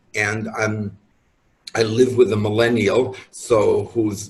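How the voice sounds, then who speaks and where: Speaking at a very slow pace, a man uses a fairly low pitch and a somewhat breathy voice. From New York. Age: 70s. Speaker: astrologer and author. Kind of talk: interview conversation.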